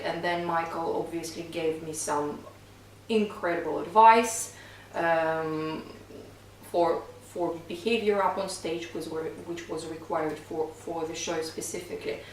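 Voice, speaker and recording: With a Russian accent, the speaker talks at a fairly slow pace with fairly even intonation, amid noticeable background noise and audible room echo. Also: woman, fairly low pitch for a woman. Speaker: singing coach and touring stage singer. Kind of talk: casual podcast chat.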